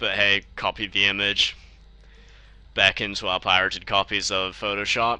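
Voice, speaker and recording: A man with a New Zealand accent speaks at a moderate pace in a fairly low pitch, his bright, sharp tone held to a monotone, flat intonation. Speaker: software tutorial maker. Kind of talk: tutorial. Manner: casual.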